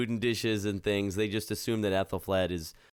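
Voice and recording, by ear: Natural reading aloud, its intonation fairly even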